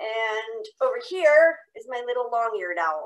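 A woman speaks with very wide pitch swings and a bright, sharp tone. The background is quiet. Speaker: nature educator. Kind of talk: online presentation. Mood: light, joking. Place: home room. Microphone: video call.

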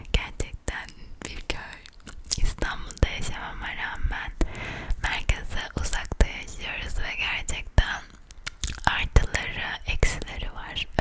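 A woman whispers at a very slow pace, her loudness swinging widely over noticeable background noise. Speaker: ASMR content creator. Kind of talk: ASMR vlog, casual talk to camera. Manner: close whisper, intimate.

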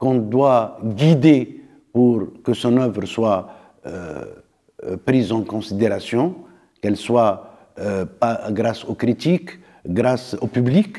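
With an Arabic accent and a dark, mellow tone, a man speaks very slowly with lively intonation and long, frequent pauses over a quiet background. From Tunisia. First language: Arabic (speaking French). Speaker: philosopher and anthropologist; interviewee. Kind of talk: interview; interview answer. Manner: halting, frequent hesitations.

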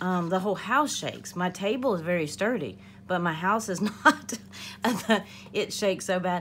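A woman speaks with a fairly low pitch. Light background noise can be heard. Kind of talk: casual vlog chat. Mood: chatty, laughing. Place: kitchen.

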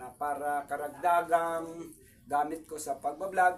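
A man talks at a very slow pace. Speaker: YouTube vlogger and craftsman. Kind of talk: casual vlog talk to viewers. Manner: hesitant, many fillers.

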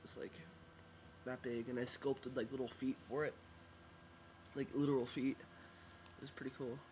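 Light background noise sits under speech at a moderate pace. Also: man. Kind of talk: casual talk to camera. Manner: hesitant, many fillers. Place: home room. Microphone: webcam.

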